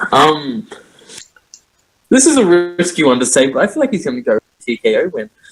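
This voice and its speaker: Fairly quick speech in an Australian accent, very wide pitch swings, long and frequent pauses, and a dry, close sound with no echo. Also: man, high pitch for a man. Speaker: podcast co-host. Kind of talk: casual chat.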